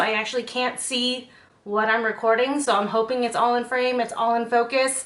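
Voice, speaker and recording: A woman's high-pitched voice at a fairly quick pace over noticeable background noise. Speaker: beauty and lifestyle content creator. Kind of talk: casual talk to camera.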